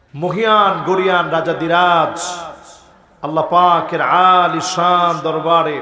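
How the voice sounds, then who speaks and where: A man speaks at a high pitch with monotone, flat intonation. Light background noise and audible room echo are present. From Bangladesh. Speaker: Islamic preacher; religious preacher. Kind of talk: sermon. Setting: outdoor religious gathering with PA. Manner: calm, not shouting. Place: stage. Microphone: podium.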